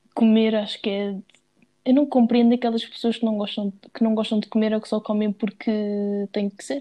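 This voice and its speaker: With a European Portuguese accent, a woman speaks at a moderate pace in a fairly high voice with a dark, mellow tone, monotone, flat intonation and big swings in loudness. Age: 20s. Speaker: podcast co-host. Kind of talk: casual chat.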